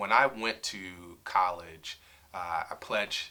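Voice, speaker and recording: A man with a New York accent. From New York, South Bronx. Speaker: attorney. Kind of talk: interview. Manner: hesitant, many fillers.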